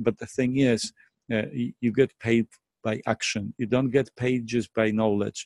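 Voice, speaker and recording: In a Polish accent, a man speaks at a moderate pace with monotone, flat intonation, recorded dry and close with no echo. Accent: Polish accent, non-native English. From Poland. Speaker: network marketing presenter. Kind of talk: sales pitch. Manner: hesitant, many fillers and repetitions.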